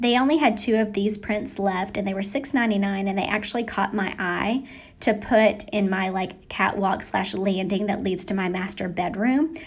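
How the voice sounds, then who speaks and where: With ordinary pitch variation, the voice sounds somewhat breathy. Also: woman, medium pitch for a woman, moderate pace, hardly any pauses. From Appalachia. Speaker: lifestyle vlogger. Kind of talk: casual voiceover narration. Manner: chatty, conversational.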